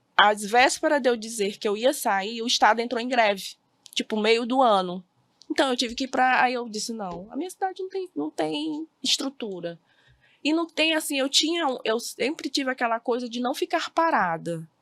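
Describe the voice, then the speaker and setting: A woman's high-pitched voice with very wide pitch swings, dry and close with no echo. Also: moderate pace, very clean recording, silent background. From Brazil, Maranhão (Bacabal). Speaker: teacher. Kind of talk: podcast interview. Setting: studio.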